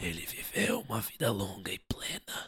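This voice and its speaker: A man speaks in a raspy voice. Hissing is audible in the recording. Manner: hissed; bitter, cold.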